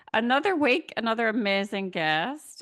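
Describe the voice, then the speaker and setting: A woman with an Irish accent and lively intonation against a quiet background. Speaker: podcast host. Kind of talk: casual interview chat; reading aloud a bio.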